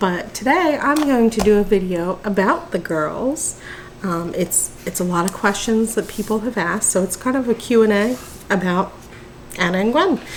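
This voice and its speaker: A woman speaks with lively intonation against noticeable background noise. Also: medium pitch for a woman, moderate pace. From New Jersey, near Philadelphia. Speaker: mother vlogger. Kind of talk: casual Q&A chat. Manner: casual with many ums.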